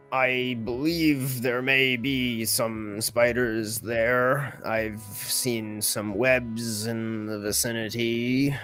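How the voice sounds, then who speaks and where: A man uses a put-on character voice at a medium pitch, speaking at a very slow pace with hardly any pauses. Clear music plays in the background. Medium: actual play. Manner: slow, literal, matter-of-fact.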